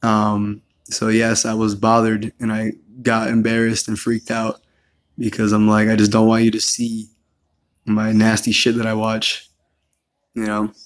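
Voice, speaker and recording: A man with a medium-pitched voice speaks at a moderate pace in a monotone, flat delivery, with long, frequent pauses. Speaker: vlogger answering accusations. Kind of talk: personal response monologue. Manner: hesitant, many filler words.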